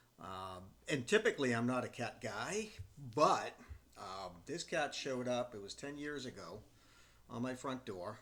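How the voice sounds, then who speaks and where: A man with an unremarkable speaking voice talks at medium pitch with lively intonation and big swings in loudness. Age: 60s. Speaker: retirement vlogger, former professional adviser. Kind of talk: casual talk to camera. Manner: relaxed, with frequent fillers.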